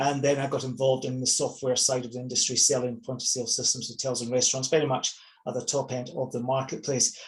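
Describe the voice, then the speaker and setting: A man with a Scottish accent talks at a very fast pace in a monotone, flat intonation, with noticeable background noise. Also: medium pitch for a man. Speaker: property investor and coach. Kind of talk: webinar presentation. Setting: online webinar.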